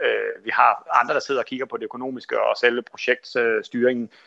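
A man talks against a quiet background. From Denmark, Kolding. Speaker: sailor, elite athlete. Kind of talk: interview.

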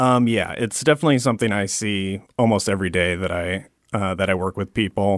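At a fairly quick pace, a man speaks in a fairly low pitch with ordinary variation, the sound dry and close with no echo. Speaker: case manager for formerly incarcerated people. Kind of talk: radio interview. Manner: hesitant, many filler words.

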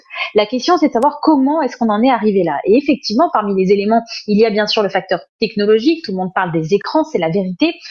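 With noticeable background noise behind her, a woman talks at a very fast pace with fairly high pitch and very wide pitch swings. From France, Paris suburbs (Sarcelles). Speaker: essayist and journalist. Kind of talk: interview.

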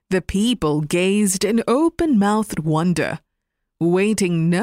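This is a natural reading voice with ordinary pitch variation, heard against a quiet background.

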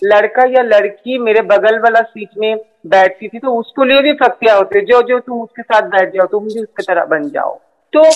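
A woman talks in a normal speaking voice with ordinary pitch variation and big swings in loudness. The sound is dry and close, with no echo. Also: fairly high pitch for a woman. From Kolkata, West Bengal, India. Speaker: transgender judge and activist. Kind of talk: interview.

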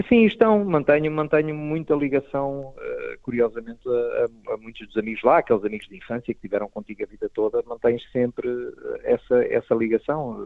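A man's plain, everyday voice, fairly high in pitch, at a moderate pace with lively intonation and big swings in loudness. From Portugal (Proença Nova, Algarve). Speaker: stand-up comedian. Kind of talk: casual interview.

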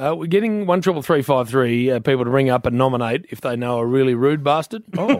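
The speaker has an Australian accent and lively intonation. The delivery is very fast, with hardly any pauses. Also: man, medium pitch for a man. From Perth, Western Australia. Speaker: radio host. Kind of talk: casual chat.

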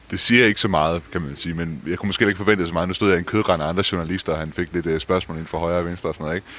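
Here a man speaks with a very deep, low pitch at a very fast pace. His intonation is fairly even. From Denmark. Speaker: journalist, Germany correspondent. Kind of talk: casual chat.

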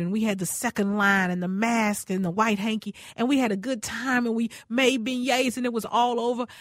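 A woman speaks in a somewhat breathy voice. The recording is very clean, with a silent background. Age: 50s. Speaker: radio host. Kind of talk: casual chat. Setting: studio. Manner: animated.

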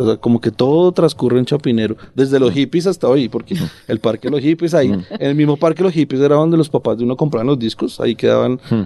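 Man with a fairly high pitch and dark, mellow tone, very fast pace, hardly any pauses, ordinary pitch variation, dry, close sound with no echo. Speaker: book editor. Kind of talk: casual interview chat.

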